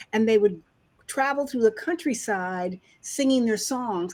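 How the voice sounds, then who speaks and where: On a very clean recording with a silent background, a woman with an American accent speaks at a fairly high pitch with lively intonation. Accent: Southern accent she can turn on and off. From New York, Harlem. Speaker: children's author. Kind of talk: interview.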